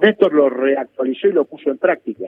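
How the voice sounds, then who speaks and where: Someone speaks at a fairly quick pace in an unremarkable speaking voice with ordinary pitch variation. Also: man. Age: 60s. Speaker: political analyst and sociologist. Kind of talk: interview.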